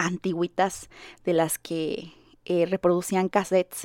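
On a very clean recording with a silent background, a woman's voice has a dry, close sound with no echo. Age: 30s. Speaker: content creator and podcast host. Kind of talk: casual monologue. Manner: rambling, with many fillers.

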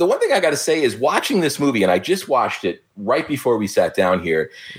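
A man speaks in a plain, everyday voice at a fairly quick pace. His intonation is lively. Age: 50s. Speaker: podcaster. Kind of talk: casual chat.

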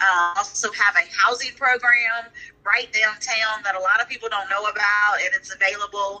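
With an unremarkable speaking voice, a woman talks at a moderate pace and medium pitch with fairly even intonation. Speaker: nonprofit executive. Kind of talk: interview.

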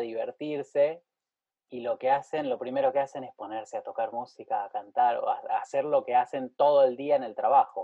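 A man speaks in a Rioplatense accent. His pace is moderate. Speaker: podcast host and pianist. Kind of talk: casual interview chat.

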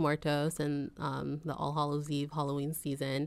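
A woman with a Californian accent at a moderate pace, on a very clean recording with a silent background. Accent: General American (Californian). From San Jose, California. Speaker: arts nonprofit associate director. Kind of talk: casual interview.

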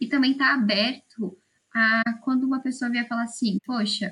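Here a woman with a high pitch talks at a moderate pace. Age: 20s. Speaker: student podcast co-host. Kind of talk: casual interview.

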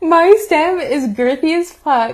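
A woman is speaking. She has an American accent. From US, Mexican American. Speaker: podcast co-host. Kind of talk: casual chat.

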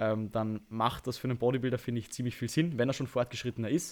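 On a very clean recording with a silent background, a man with a plain, everyday voice speaks at medium pitch with fairly even intonation. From Austria. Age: 20s. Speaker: bodybuilder and online coach. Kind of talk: podcast interview.

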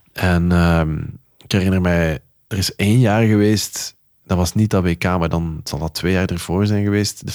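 A man's very deep, low voice, fairly slow and fairly even in intonation, on a very clean recording with a silent background. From Netherlands. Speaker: radio and TV presenter, music lover. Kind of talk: casual conversation.

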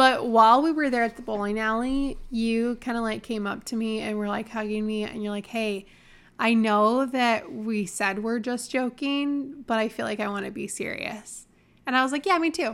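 Very clean and recorded against a silent background, a woman with an American accent and an ordinary speaking voice talks at a moderate pace, her fairly high pitch showing ordinary variation. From Michigan. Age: 30s. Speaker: podcast co-host. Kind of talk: casual chat.

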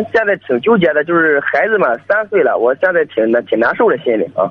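This man talks at a fairly quick pace in a voice that is high for a man. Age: young. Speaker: caller seeking advice. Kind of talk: call-in conversation. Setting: phone call.

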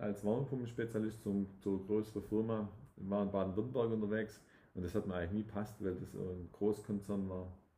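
A man's dark, mellow voice, fairly low in pitch, fairly quick and fairly even in intonation. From southwest Germany, Tübingen area (Swabia). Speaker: real estate developer. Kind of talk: casual interview. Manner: hesitant, many restarts.

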